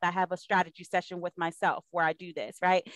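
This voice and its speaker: Recorded with a dry, close sound and no echo, a woman speaks at a very fast pace. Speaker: productivity coach. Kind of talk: interview.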